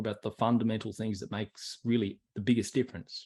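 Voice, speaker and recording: A man talks at a very fast pace with medium pitch. The background is quiet. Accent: Australian. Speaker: personal development coach. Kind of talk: online workshop. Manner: animated.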